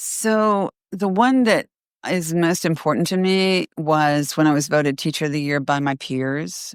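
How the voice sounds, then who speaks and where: With an American accent, a woman speaks at a very deep, low pitch and a fairly slow pace, her intonation lively. The recording is very clean with a silent background, and the sound is dry and close with no echo. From US South. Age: 60s. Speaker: retired teacher and essay coach. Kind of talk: interview.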